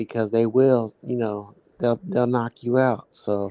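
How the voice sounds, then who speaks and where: In a Midwestern accent, a man speaks at a moderate pace and medium pitch with a dark, mellow tone and fairly even intonation, the sound dry and close with no echo. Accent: Midwestern country. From Kansas City. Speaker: guest on live stream. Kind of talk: casual chat. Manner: halting, many fillers.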